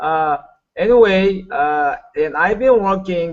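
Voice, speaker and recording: A man is speaking. He has a Korean accent. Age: 60s. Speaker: network marketing leader. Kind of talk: motivational talk. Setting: video call. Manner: halting.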